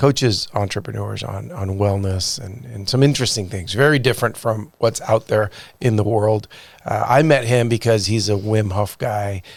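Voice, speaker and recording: A plain, everyday voice with ordinary pitch variation at a moderate pace. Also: man, fairly low pitch for a man. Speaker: podcast host. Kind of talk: podcast intro.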